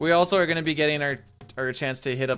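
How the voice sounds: Music plays in the background as a man speaks.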